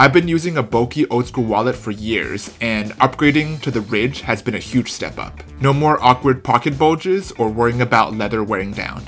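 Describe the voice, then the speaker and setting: Faint music plays in the background. A man talks over it at a fairly quick pace. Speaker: content creator. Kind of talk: sponsored ad read. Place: home room.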